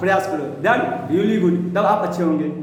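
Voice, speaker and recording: Male speech amid distinct background noise, with room echo clearly audible. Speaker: English teacher. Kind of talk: tutorial.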